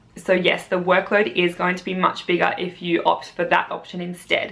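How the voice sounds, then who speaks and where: Against noticeable background noise, a woman with an Australian accent talks at a moderate pace and a medium pitch. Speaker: primary school teacher. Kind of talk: vlog, casual talk to camera.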